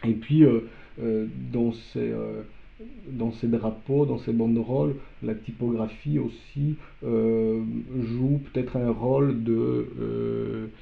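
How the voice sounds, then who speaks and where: Speaking with a Polish accent, a man moves at a very slow pace with long, frequent pauses. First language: Polish (speaking French). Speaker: artist. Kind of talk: interview. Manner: halting.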